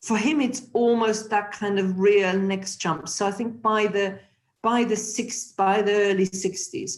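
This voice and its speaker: This woman speaks in a German accent at a fairly slow pace. Her pitch is medium, with ordinary variation. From Germany. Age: 60s. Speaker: former politician. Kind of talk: webinar interview. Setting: video call.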